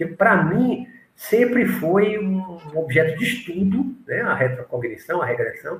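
A man talks fairly slowly, his high voice rising and falling with lively intonation. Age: 60s. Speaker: spiritualist teacher. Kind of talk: interview.

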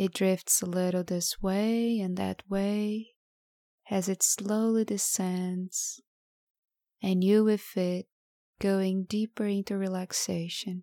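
At a very slow pace, a woman with a medium-pitched voice speaks in a dark, mellow, soothing tone and a flat monotone, recorded very cleanly with a silent background and a dry, close sound with no echo. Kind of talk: guided meditation. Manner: slow, soothing and hypnotic, with long pauses between lines; soft-spoken, calm and gentle.

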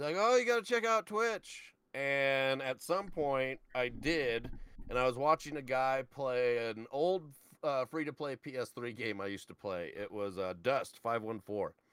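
A man with an ordinary speaking voice, medium pitch, lively intonation and a fairly slow pace. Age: 30s. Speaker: video game streamer. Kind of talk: casual chat.

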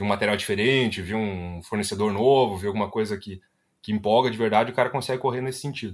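Speaking at a very fast pace, a man with a fairly low pitch and ordinary pitch variation comes through on a very clean recording with a silent background. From Rio Grande do Sul, Brazil (Ivoti). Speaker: product designer. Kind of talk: casual interview chat.

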